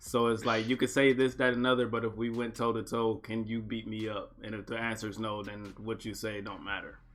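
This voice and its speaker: With music in the background, a man talks fairly quickly in a medium-pitched, monotone voice, with flat intonation and hardly any pauses. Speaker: podcast co-host. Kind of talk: casual chat. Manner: fast.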